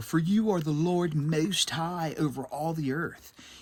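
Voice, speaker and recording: A put-on character voice delivers the lines fairly slowly. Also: man, fairly high pitch for a man. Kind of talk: laid-back surfer-dude speech.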